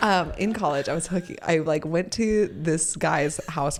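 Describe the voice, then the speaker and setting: A woman's fairly low-pitched voice at a moderate pace, with ordinary pitch variation. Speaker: podcast host. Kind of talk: casual chat.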